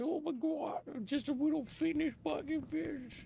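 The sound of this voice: In a raspy put-on character voice at an extremely high pitch, a man speaks at a fairly slow pace.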